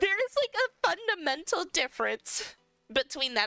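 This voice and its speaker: The speaker has an American accent and lively intonation. Delivery is at a fairly slow pace, with a dry, close sound and no echo. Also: woman. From US, New York. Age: 20s. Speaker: streamer. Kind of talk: casual chat. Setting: live stream. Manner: hesitant, filler-heavy.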